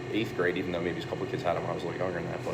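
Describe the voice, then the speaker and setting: A man with an American accent is heard amid noticeable background noise and audible room echo. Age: 30s. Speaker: produce business manager. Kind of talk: interview.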